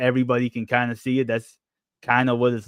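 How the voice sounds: Against a quiet background, the recording carries a natural reading voice.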